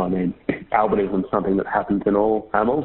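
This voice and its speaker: A man talks at a very fast pace. He speaks with an Australian accent. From Queensland, Australia. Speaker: PhD researcher in ecology. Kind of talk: interview.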